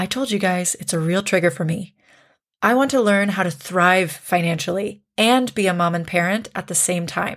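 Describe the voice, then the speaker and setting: A woman speaks with a Canadian accent at a moderate pace. She has a plain, everyday voice. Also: medium pitch for a woman, ordinary pitch variation, very clean recording, silent background. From Canada. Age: 30s. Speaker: podcast host. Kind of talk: casual chat.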